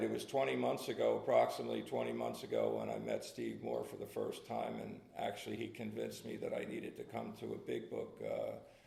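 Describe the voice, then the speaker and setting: Audible room echo surrounds a man speaking in a New Jersey accent. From New Jersey (Red Bank). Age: 60s. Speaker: recovering alcoholic speaker. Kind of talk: testimony. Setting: meeting with audience. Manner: halting, many fillers.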